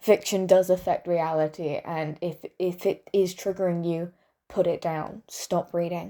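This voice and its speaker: With a dark, mellow tone and a fairly low pitch, a woman speaks at a fairly slow pace in fairly even intonation. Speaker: video essayist. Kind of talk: opinion monologue. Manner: stutters.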